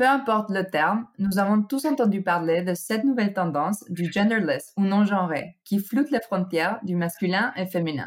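A woman with a non-native accent speaks at a fairly slow pace in a medium pitch with ordinary pitch variation. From United States (born in Mexico). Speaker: trend researcher. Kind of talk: scripted segment. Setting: recording at home.

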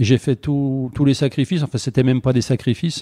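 Against a quiet background, a man's dark, mellow voice at medium pitch comes through dry and close with no echo. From France, Saint-Étienne. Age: 60. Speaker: former footballer turned lawyer. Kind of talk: interview. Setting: his office. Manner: hesitant, many fillers.

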